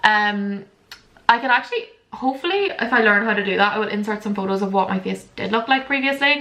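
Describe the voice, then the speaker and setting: This woman has a Northern Irish accent. Her pitch is fairly high. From Northern Ireland, border area. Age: 20s. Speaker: lifestyle vlogger. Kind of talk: casual chat. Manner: fast; animated.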